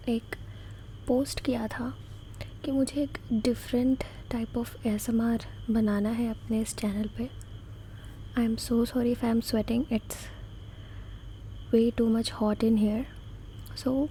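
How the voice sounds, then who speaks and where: A soft-spoken woman talks at a fairly high pitch with monotone, flat intonation. Her speech has long, frequent pauses. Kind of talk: ASMR comforting talk.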